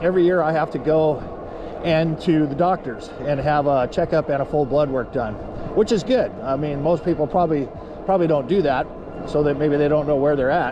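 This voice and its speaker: A man talks at a fairly quick clip with ordinary pitch variation. Noticeable background noise sits behind him. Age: 60s. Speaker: vlogger. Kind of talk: casual vlog monologue. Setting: outdoors on e-bike ride. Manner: halting, many fillers.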